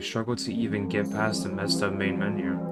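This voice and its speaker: A man talks at a fairly quick pace, his pitch swinging very widely. Music plays behind him. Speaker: gamer / video creator playing a visual novel. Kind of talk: reading game narration aloud in first person.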